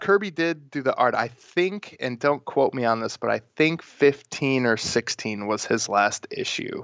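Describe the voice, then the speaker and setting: Speaking with an American accent, a man uses an unremarkable speaking voice pitched fairly high for a man. His pace is fairly slow, his intonation lively, and he hardly pauses. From Wisconsin, Milwaukee. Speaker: comic book writer. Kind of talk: interview.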